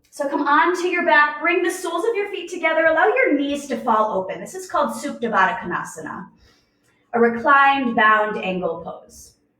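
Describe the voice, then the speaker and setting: A woman with a high pitch talks at a fairly quick pace in a raised, projected voice, her pitch swinging very widely and her loudness rising and falling sharply. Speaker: yoga teacher. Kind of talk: guided yoga class.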